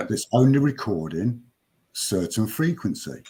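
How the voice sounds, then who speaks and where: On a very clean recording with a silent background, a man with a dark, mellow, somewhat breathy tone talks at a fairly slow pace and fairly low pitch, his voice making very wide pitch swings. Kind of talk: podcast conversation.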